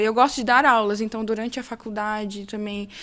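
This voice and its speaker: This woman talks very fast. Her voice sits fairly high. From interior of São Paulo state, Brazil (Fernandópolis). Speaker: lawyer and entrepreneur. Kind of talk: podcast interview.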